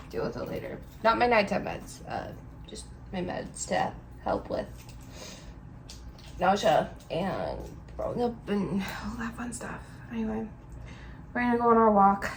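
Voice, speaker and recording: Amid noticeable background noise and audible room echo, a woman speaks at a moderate pace with long, frequent pauses and big swings in loudness. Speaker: vlogger with a service dog in training. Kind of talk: casual vlog narration.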